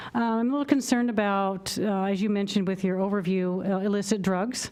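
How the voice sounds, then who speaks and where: A woman with an American accent has an ordinary speaking voice and a medium pitch. She talks at a fairly quick pace over a quiet background. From Issaquah, Washington, US Pacific Northwest. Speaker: public commenter at city council meeting. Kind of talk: public comment.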